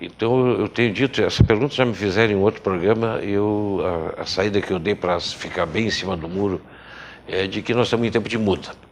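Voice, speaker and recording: This man's voice sits at a fairly low pitch, with ordinary pitch variation and a fairly quick pace. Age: 60s. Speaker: journalist and writer. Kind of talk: TV interview. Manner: halting, many fillers.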